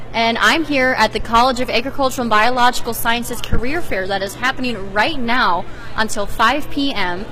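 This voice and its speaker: Noticeable background noise sits behind a woman speaking at a moderate pace with a fairly high pitch and ordinary pitch variation. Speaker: student reporter. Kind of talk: TV news reporter.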